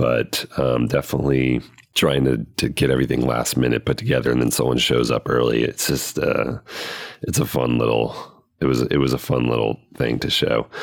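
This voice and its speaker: Over noticeable background noise, a man with a very deep, low pitch speaks at a moderate pace in a monotone, flat delivery, his loudness very even. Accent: American. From US South, Cajun Louisiana. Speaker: guest analyst. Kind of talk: casual chat.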